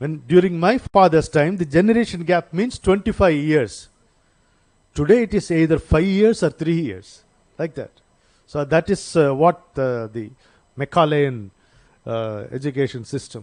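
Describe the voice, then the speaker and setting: Speaking with an Indian accent, a man moves at a fairly slow pace, his pitch swinging very widely between long, frequent pauses. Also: fairly high pitch for a man. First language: Indian language (not Telugu or English). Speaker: seminar speaker. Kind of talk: lecture. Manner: halting, with many fillers.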